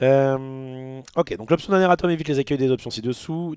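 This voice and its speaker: Lively intonation runs through a man's dark, mellow voice. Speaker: streamer, card game commentator. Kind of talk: livestream, reading article and reacting. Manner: halting.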